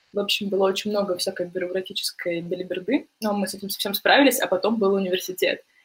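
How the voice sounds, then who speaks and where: Speaking very fast with hardly any pauses, a woman uses a medium pitch, a somewhat breathy voice and fairly even intonation. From Russia, Novosibirsk. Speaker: journalist. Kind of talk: casual chat.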